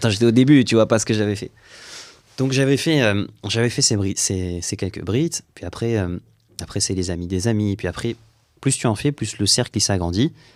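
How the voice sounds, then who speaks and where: A man's fairly low voice with ordinary pitch variation, a moderate pace and long, frequent pauses, on a very clean recording with a silent background. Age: 30s. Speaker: rabbi and mohel. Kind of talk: interview.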